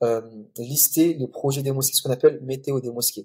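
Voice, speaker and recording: The man's voice sits at a medium pitch with a dark, mellow tone. It is somewhat breathy. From Comoros (Grande Comore), then Mayotte. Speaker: mosque photographer and project founder. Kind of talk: podcast interview. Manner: calm, hesitant with many fillers.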